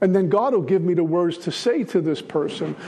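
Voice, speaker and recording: A man rattles along at a very fast pace while noticeable background noise runs underneath. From Brooklyn, New York. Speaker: AA speaker sharing recovery story. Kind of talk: recovery talk to a meeting.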